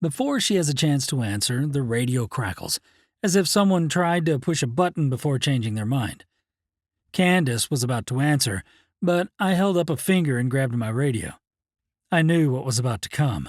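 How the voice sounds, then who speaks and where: A man with an ordinary speaking voice talks at a moderate pace with lively intonation, on a very clean recording with a silent background. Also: fairly high pitch for a man. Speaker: audiobook narrator. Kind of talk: audiobook narration.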